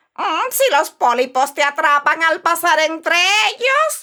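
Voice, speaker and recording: A woman's put-on character voice, extremely high in pitch, sinister in tone and fairly slow. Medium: read story. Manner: sinister, mocking, cackling.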